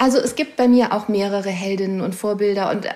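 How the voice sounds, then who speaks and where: With an unremarkable speaking voice, a woman talks at a moderate pace with fairly even intonation. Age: 40s. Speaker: author. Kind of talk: interview.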